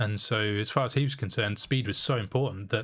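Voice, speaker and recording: On a very clean recording with a silent background, a man speaks in a somewhat breathy voice. His pitch varies in an ordinary way. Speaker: podcast co-host. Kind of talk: casual chat. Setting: live podcast. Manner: fast.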